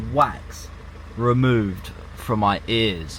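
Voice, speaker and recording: With an English accent, a man speaks at a very slow pace in a medium pitch, with ordinary pitch variation. Audible room echo and noticeable background noise fill the recording. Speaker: vlogger. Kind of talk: casual vlog talk. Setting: in a car. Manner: loud.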